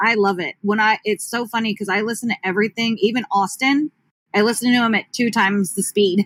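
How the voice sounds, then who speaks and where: With fairly even intonation, a woman talks fairly quickly at a fairly high pitch in a dry, close sound with no echo. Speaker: rapper. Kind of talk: casual chat. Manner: fast.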